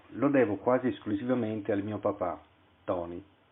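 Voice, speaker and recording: At a moderate pace, a man speaks in an unremarkable speaking voice, fairly low in pitch, with ordinary pitch variation. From Italy, Venice. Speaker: author. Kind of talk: reading aloud.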